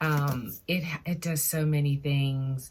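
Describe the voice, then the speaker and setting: Her voice is very deep and low in pitch, and somewhat breathy, as this woman speaks. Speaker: sewing vlogger. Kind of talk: casual vlog talk. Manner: hesitant, many fillers; lowered voice briefly.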